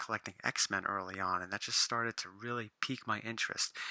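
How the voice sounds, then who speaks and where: A man speaks quietly at a moderate pace, in a monotone, flat intonation. The sound is dry and close, with no echo. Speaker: comic book collector vlogger. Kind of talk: casual vlog monologue. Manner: quieter, lowered voice.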